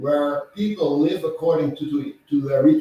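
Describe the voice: A man's dark, mellow voice with a Dutch accent, at a moderate pace, with audible room echo.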